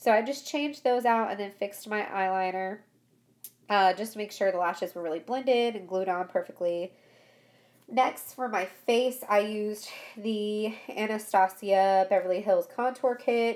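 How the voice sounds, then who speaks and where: Here is a plain, everyday voice from a woman with a fairly high pitch. She keeps a moderate pace and ordinary pitch variation. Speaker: beauty vlogger. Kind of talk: makeup tutorial voiceover.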